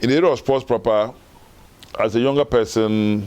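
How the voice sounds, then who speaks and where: A man talking at a very fast pace with ordinary pitch variation, noticeable background noise behind him. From northern Ghana. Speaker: former football association chairman. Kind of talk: interview.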